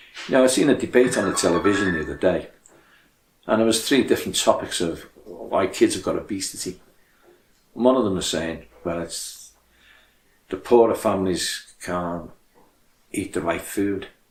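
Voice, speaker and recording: Speaking in a Liverpool accent at a moderate pace, a man with a fairly low voice and ordinary pitch variation leaves long, frequent pauses. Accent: Scouse (Liverpool). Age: 70s. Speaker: charity chairman. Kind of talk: appeal speech.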